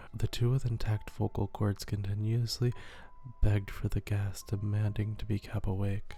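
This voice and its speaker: Someone soft-spoken talks at a moderate pace with monotone, flat intonation. Music plays in the background. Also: man. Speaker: horror story narrator and ASMR YouTuber. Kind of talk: horror story reading.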